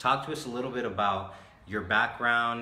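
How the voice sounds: A man talks at a moderate pace and medium pitch with ordinary pitch variation. His tone is bright and sharp, and audible room echo surrounds it.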